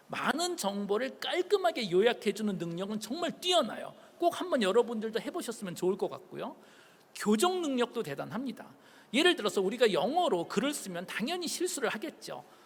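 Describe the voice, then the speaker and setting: A man talks at a fairly quick pace in an extremely high pitch, with very wide pitch swings. Noticeable background noise can be heard. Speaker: professor. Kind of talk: public lecture.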